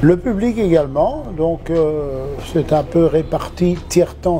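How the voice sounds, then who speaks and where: Against noticeable background noise, a man with a high pitch and ordinary pitch variation speaks at a very slow pace. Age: 70s. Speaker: swimming pool manager. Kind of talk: interview answers. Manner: hesitant, many fillers.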